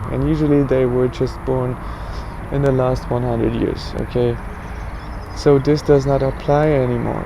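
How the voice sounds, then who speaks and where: A man speaks at a moderate pace with long, frequent pauses, over noticeable background noise and audible room echo. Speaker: religious astronomy vlogger. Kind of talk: casual explanatory monologue.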